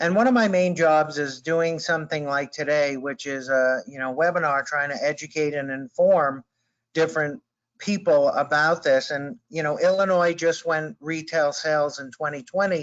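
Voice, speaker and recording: This man speaks with an East Coast US accent. His pitch is fairly high. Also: ordinary pitch variation, moderate pace. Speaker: prevention specialist. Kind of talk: webinar presentation.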